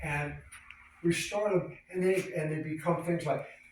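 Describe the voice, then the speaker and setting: This man's voice sits high in pitch, with fairly even intonation. Noticeable background noise and audible room echo surround him. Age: 80s+. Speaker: classic car collector and restorer. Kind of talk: casual chat.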